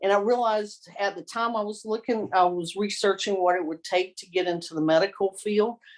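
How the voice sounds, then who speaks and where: With a slight Southern US accent, the speaker talks at a moderate pace with ordinary pitch variation. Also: woman. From US South, Columbia, South Carolina. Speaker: victim advocate. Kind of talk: oral history interview. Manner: halting, many fillers and repeats.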